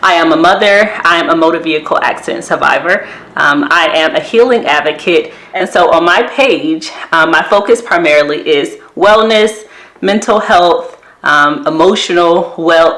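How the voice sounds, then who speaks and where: A woman speaks at a medium pitch and moderate pace with lively intonation and very even loudness. Noticeable background noise can be heard. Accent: American. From US South. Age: 30s. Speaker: therapist and wellness vlogger. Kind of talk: casual vlog talk to camera.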